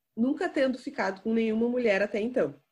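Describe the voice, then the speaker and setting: On a very clean recording with a silent background, a somewhat breathy woman speaks with ordinary pitch variation. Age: 20s. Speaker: podcast host. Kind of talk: casual chat.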